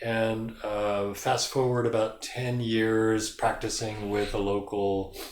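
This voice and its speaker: Audible room echo surrounds a man speaking at medium pitch in a flat, monotone way. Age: 60s. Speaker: yoga studio founder. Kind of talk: casual interview.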